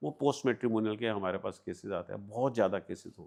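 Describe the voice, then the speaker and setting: Against a quiet background, a man talks at a moderate pace. He has an unremarkable speaking voice with lively intonation. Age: 60s. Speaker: private investigator. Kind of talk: interview.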